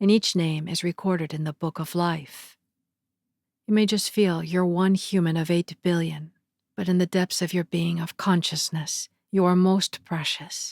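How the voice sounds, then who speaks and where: A woman with a fairly low pitch and monotone, flat intonation, at a moderate pace, in a dry, close sound with no echo on a very clean recording with a silent background. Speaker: narrator. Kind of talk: spiritual lecture reading with commentary.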